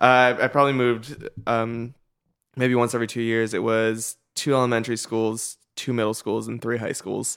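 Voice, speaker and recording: Speaking with an American accent, a man keeps a medium pitch and monotone, flat intonation. His pace is moderate, and the recording is very clean with a silent background. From US West Coast. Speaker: internet video creator. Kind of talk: interview conversation. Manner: halting, repeats words.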